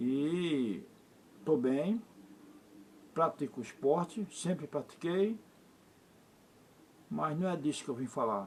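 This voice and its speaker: This man speaks at a very slow pace with long, frequent pauses, a fairly high pitch and lively intonation. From Recife, Brazil. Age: 60s. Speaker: vlogger. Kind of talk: personal monologue to camera. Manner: halting.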